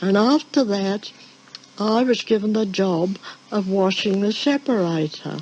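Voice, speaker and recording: With noticeable background noise, a woman talks at a fairly slow pace, her medium pitch showing ordinary variation. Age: 80s+. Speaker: former dairy farm worker. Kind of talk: oral history recollection.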